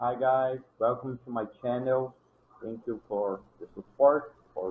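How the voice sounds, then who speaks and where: A man with a non-native accent speaks at a medium pitch and a fairly slow pace. His intonation stays fairly even. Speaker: programming tutorial creator. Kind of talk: tutorial. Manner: halting, with restarts.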